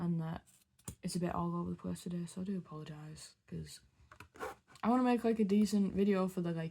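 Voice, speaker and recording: In a strong northeast English accent, a woman speaks with a dark, mellow, somewhat breathy tone. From northeast England. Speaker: beauty vlogger. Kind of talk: casual chat while doing makeup. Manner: rambling, hesitant.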